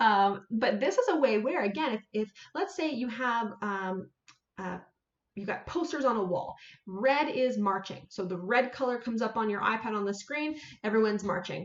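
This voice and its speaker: The intonation is lively. There is audible echo from the room. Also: woman. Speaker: senior fitness educator; presenter. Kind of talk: live-streamed webinar presentation. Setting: live stream on social media. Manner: fast. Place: home room. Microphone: webcam.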